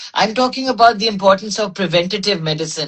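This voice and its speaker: Somewhat breathy and medium in pitch, a woman's voice rises and falls with lively intonation. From Pakistan. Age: 60s. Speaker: medical doctor and wellness advocate. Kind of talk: interview conversation. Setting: Instagram live.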